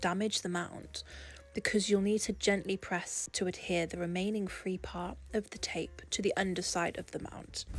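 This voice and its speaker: Music plays in the background as a woman with an English accent speaks at a moderate pace, medium in pitch and monotone, with flat intonation. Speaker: portrait artist. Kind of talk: tutorial voice-over.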